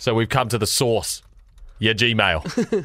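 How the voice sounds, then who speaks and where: A man with a New Zealand accent speaks at a fairly slow pace, his medium-pitched voice bright and sharp in tone. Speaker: radio host. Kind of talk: casual chat.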